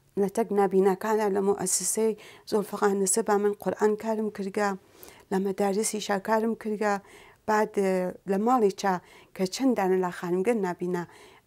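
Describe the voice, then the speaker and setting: Over a quiet background, a woman speaks fairly slowly in a dark, mellow tone with monotone, flat intonation. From Sanandaj, Iranian Kurdistan; Iranian Kurdistan. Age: 40s. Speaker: Quran teacher and athlete; Quran teacher. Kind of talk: talk show interview. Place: studio.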